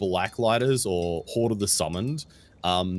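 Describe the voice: Someone reads aloud. The reading is plain.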